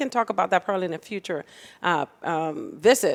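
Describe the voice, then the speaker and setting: A woman with a Spanish accent talks at a fairly quick pace with lively intonation on a very clean recording with a silent background. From Dominican Republic and Puerto Rico. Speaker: political candidate. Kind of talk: political interview. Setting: podcast studio with live audience.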